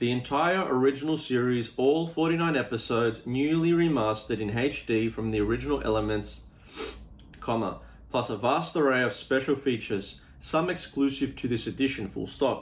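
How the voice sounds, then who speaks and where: A man speaks with an Australian accent. His pitch variation is ordinary. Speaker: YouTube vlogger. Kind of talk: unboxing video, reading the back-cover blurb in a mock 1960s sci-fi announcer tone. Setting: home, solo to camera. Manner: casual, rambling, with fillers; deliberate, ominous, mock-dramatic announcer delivery when reading the blurb. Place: home room. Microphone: phone near.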